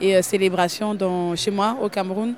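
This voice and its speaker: A woman speaks with a medium pitch in a monotone, flat delivery. Noticeable background noise runs underneath. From New York. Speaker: dancer. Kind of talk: interview.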